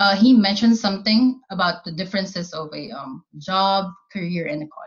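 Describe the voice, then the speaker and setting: Speaking at a fairly quick pace, a woman with a Filipino accent has a somewhat breathy, medium-pitched voice, ordinary pitch variation, and big swings in loudness. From Philippines. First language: Tagalog. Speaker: army cook. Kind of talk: casual chat.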